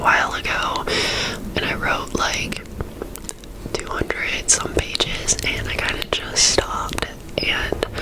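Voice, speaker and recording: Whispering from a woman, with noticeable background noise behind her. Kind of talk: ASMR whispered ramble to camera. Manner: whispered, soft-spoken.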